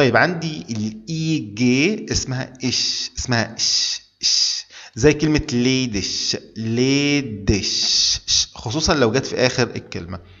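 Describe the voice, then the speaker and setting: A man talks very slowly, his intonation lively. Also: medium pitch for a man. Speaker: German language teacher. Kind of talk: tutorial. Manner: repetitive, deliberate.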